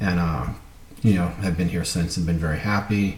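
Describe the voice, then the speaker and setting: Audible room echo and noticeable background noise surround the recording. A man speaks at a very deep, low pitch with fairly even intonation. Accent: Brooklyn. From US Northeast, Brooklyn, New York. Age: 40s. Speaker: cardiologist and business student. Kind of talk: self-introduction video. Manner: casual, many fillers.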